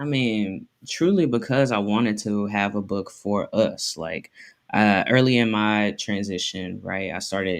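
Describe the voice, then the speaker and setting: A man with a normal speaking voice and an American accent, fairly low in pitch, with ordinary pitch variation, a fairly slow pace, and a quiet background. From US South. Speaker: memoir author. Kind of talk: interview. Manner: casual, filler-heavy.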